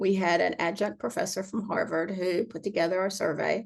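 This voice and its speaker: A woman's unremarkable speaking voice at a medium pitch, at a moderate pace. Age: 60s. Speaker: accessible vacation rental owner and advocate. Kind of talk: casual interview conversation.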